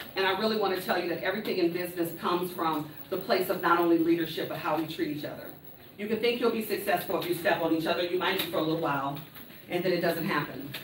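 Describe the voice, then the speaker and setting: An animated woman talking very fast with ordinary pitch variation, audible room echo and noticeable background noise. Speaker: motivational speaker. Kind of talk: conference talk. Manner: loud.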